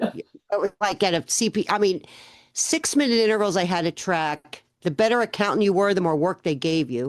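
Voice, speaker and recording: With a normal speaking voice, a woman at medium pitch talks at a moderate pace with lively intonation, the sound dry and close with no echo over a quiet background. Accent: American. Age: 60s. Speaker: accountant and business owner. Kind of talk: interview podcast.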